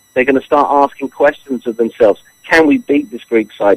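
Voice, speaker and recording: A man with a British accent at a fairly quick pace, lively intonation, dry, close sound with no echo. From England. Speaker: football pundit. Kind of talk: sports talk radio interview.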